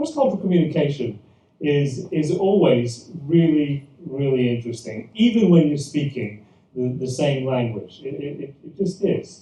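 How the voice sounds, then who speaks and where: A man speaks at a moderate pace with a British accent, his pitch fairly high and his intonation lively. His tone is dark and mellow, somewhat breathy, with big swings in loudness. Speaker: pastor. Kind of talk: church presentation talk. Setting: event with live audience. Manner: hesitant, many fillers and repetitions.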